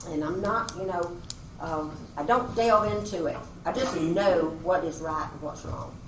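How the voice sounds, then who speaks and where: A woman with a Georgia accent speaks at a fairly slow pace with a fairly low pitch and lively intonation. Noticeable background noise and audible room echo fill the recording. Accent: US Southern (Georgia). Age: 70s. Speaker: public commenter at county meeting. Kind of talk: public comment at hearing. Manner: earnest, folksy.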